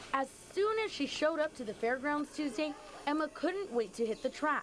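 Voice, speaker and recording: A woman's voice with very wide pitch swings at a moderate pace, over noticeable background noise. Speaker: TV news reporter. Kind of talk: serious news anchor-style package narration.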